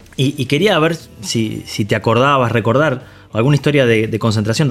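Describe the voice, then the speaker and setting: A plain, everyday voice from a man, medium in pitch, fairly quick, with ordinary pitch variation. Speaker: former footballer, podcast host. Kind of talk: casual interview chat.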